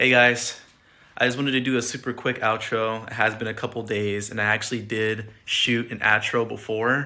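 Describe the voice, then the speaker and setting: Against a silent background on a very clean recording, a man talks at a fairly quick pace in a fairly low pitch with a bright, sharp tone and fairly even intonation, the sound dry and close with no echo. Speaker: car project vlogger. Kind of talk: casual vlog talk. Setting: in and around car, walking for outro. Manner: repeats words, many fillers. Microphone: new microphone mounted in car.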